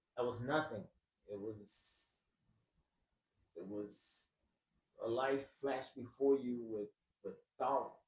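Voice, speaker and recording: Somewhat breathy and medium in pitch, a man talks at a very slow pace with ordinary pitch variation and long, frequent pauses. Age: 60s. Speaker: personal storyteller. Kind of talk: testimony. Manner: halting, with many repetitions.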